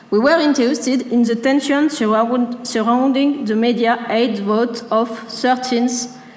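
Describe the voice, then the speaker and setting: A high-pitched woman speaks at a moderate pace with fairly even intonation, with noticeable background noise and audible room echo. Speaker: researcher presenting a project. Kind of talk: conference presentation read from text. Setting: stage with audience. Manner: reading from script, halting.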